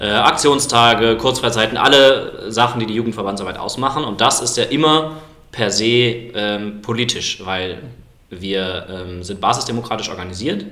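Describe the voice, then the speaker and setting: There's audible room echo as a man speaks with a slight Cologne accent. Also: medium pitch for a man, ordinary pitch variation, moderate pace. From Germany, Cologne. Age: 20s. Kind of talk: podcast debate.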